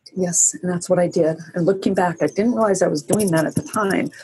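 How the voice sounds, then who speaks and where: A somewhat breathy woman's voice at medium pitch. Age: 60s. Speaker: abuse survivor sharing her story. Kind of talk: interview testimony. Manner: halting, with frequent restarts.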